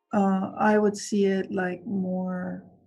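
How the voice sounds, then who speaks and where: The speaker is soft-spoken. Music plays in the background. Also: woman. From Venezuela. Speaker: construction executive. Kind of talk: interview answer.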